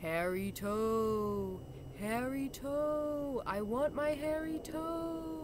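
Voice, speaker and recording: A female-sounding, put-on character voice with high pitch speaks at a very slow pace over loud background noise. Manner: eerie, haunting.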